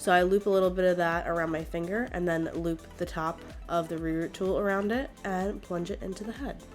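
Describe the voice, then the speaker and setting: A woman's fairly low voice with fairly even intonation, music in the background. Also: fairly quick pace. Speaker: doll customizer. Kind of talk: tutorial. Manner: casual.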